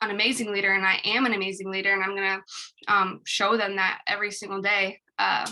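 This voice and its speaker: A woman talks fairly quickly in a bright, sharp tone. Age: 20s. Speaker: business team member. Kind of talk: group call presentation. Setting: group call. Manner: hesitant, filler-heavy.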